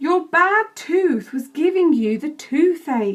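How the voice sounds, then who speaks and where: The speaker uses a put-on character voice. The words come out very slowly. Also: woman. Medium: read story.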